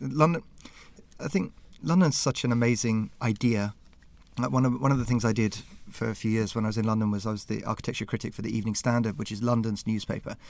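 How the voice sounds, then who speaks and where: Over a silent background in a very clean recording, a man talks very fast with a southern English accent. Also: medium pitch for a man, ordinary pitch variation. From Southampton, southern England. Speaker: museum curator. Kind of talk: interview. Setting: small studio room.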